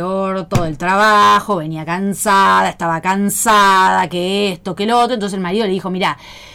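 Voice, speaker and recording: A woman speaks at a moderate pace with a medium pitch and ordinary pitch variation. Her tone is bright and sharp. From Pergamino, Buenos Aires province, Argentina. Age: 40s. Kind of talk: casual chat.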